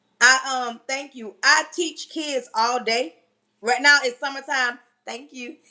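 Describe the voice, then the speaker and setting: A woman with a high pitch uses a raised, projected voice with a bright, sharp tone, speaking at a very slow pace with big swings in loudness and ordinary pitch variation. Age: 40s. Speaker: livestream host and teacher. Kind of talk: casual livestream talk. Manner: animated.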